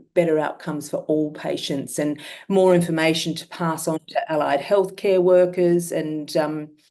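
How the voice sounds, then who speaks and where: A woman's fairly low voice in an Australian accent, with monotone, flat intonation. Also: moderate pace. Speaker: myeloma patient. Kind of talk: testimony.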